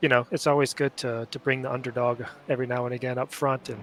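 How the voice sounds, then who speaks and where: A man at a medium pitch with an American accent, very fast pace and monotone, flat intonation. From USA, North Carolina. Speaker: sim racing driver. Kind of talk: post-race interview. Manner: hesitant, many fillers.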